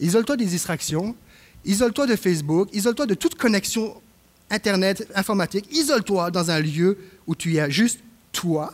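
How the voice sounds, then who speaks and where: The man's voice sits high in pitch and moves with lively intonation. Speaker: assistant pastor. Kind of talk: sermon; prayer. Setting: church. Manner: halting with repetitions.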